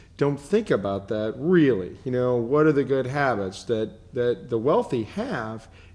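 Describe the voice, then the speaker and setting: Speaking at a moderate pace with an American accent, a man uses a medium pitch and ordinary pitch variation. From Michigan. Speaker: business show host. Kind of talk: interview.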